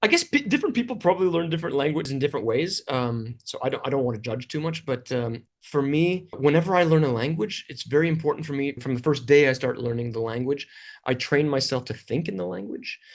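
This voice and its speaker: A man with a Canadian accent talks in a fairly high voice with lively intonation. He goes at a very fast pace with hardly any pauses. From Canada. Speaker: English teacher and video creator. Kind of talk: interview.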